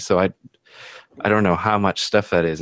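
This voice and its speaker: The sound is dry and close with no echo as a man with an American accent talks at a fairly quick pace. His voice is very deep and low, with ordinary pitch variation. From US Pacific Northwest. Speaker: YouTuber hosting a livestream. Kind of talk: casual group chat. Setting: video call livestream.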